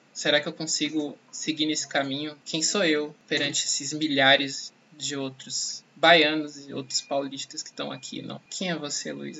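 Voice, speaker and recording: A fairly high-pitched man, monotone and flat, at a moderate pace with hardly any pauses and big swings in loudness, against noticeable background noise. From Salvador, Bahia, Brazil. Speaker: journalism student and podcast host. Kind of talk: personal testimony.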